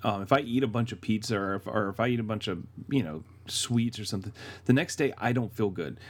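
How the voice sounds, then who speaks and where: A fairly low-pitched man at a very fast pace, with ordinary pitch variation. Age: 30s. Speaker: podcast co-host. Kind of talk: casual chat. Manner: halting.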